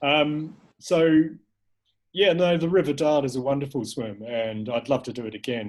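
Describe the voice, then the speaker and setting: Speaking fairly slowly with a New Zealand accent, a man has a fairly high pitch. His intonation is lively. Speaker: filmmaker and cold water swimmer. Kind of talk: casual interview chat. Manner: hesitant, many fillers and repeats.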